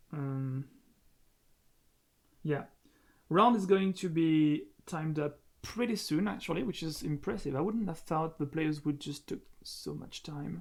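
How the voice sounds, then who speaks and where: Pausing long and often, a man speaks with a French accent and ordinary pitch variation. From France. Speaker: game streamer and commentator. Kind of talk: live stream commentary. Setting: at home, live stream. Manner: halting, many fillers.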